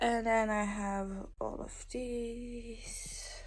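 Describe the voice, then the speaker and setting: A woman speaks with a non-native accent. Her voice carries audible room echo. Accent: non-native English pronunciation. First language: not English (English is third language). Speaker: booktuber. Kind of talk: casual vlog chat. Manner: casual, filler-heavy.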